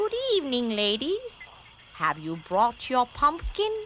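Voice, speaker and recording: A cartoonish character voice, female-sounding, high in pitch for a woman, with very wide pitch swings, a fairly slow pace and clear background noise. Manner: authoritative, orderly.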